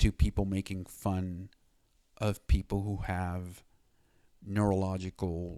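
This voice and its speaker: A dark, mellow tone at a very slow pace, on a very clean recording with a silent background. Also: man. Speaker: video blogger. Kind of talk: personal vlog monologue. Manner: stutter; halting with fillers.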